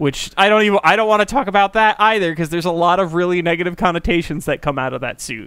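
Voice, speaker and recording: This is a man speaking. His pitch is high. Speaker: podcast co-host. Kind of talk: casual comedic chat.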